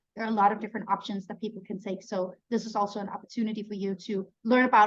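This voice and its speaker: With a Danish accent, a woman talks at a very fast pace in a fairly high voice. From Denmark. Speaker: neuroscientist and webinar host. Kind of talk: online webinar presentation.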